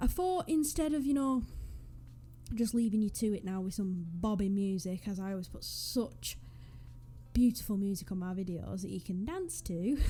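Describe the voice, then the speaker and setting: With music playing in the background, a woman speaks at a moderate pace in a northwest English accent. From northwest England. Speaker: gaming YouTuber. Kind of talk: casual vlog commentary. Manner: casual, hesitant.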